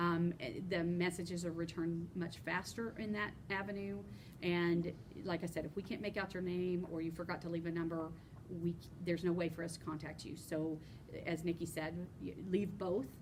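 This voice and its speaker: A woman talks at a fairly quick pace with fairly low pitch. Her intonation is fairly even, and audible room echo surrounds her. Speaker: union chapter officer. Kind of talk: informational podcast chat. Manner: fast.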